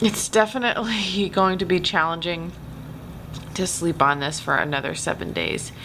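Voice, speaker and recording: Noticeable background noise sits behind a woman speaking at a moderate pace. Her pitch is fairly low, with ordinary variation. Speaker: vlogger. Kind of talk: casual vlog chat. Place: home room.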